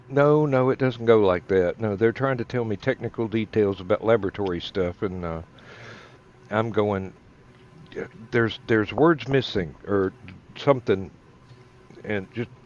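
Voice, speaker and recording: A man speaks at a moderate pace with a strong Southern US accent, his pitch fairly low and its variation ordinary. Long pauses come often. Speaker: online talk show co-host. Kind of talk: casual chat.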